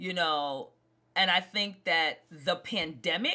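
Her tone bright and sharp, a woman speaks with lively intonation in a New York accent. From Brooklyn, New York. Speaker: singer and actor. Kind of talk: interview.

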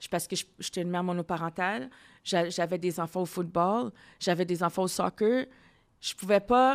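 The recording is very clean with a silent background and a dry, close sound with no echo, the speech moderate in pace with ordinary pitch variation. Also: woman, fairly low pitch for a woman. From Ontario, Ottawa. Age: 40s. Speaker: podcast host. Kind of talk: casual interview.

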